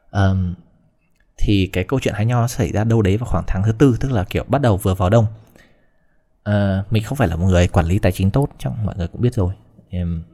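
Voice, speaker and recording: In a very clean recording with a silent background, a man talks at a fairly quick pace with long, frequent pauses, his fairly low, somewhat breathy voice dark and mellow in tone, with ordinary pitch variation. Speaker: vlogger. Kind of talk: casual storytelling monologue.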